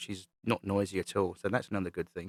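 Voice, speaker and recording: Heard in a dry, close sound with no echo, a man with a British accent speaks at a moderate pace and a fairly low pitch. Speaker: model railway hobbyist YouTuber. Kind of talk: voice-over tutorial commentary. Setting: recorded voice-over over playback. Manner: monotone.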